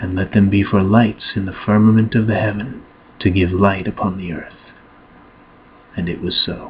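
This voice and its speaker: A man talks in a fairly low pitch, somewhat breathy. His intonation is monotone and flat. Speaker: Bible reader, ASMR channel host. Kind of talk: gentle Bible reading, ASMR relaxation. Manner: gentle, soft-spoken, slow.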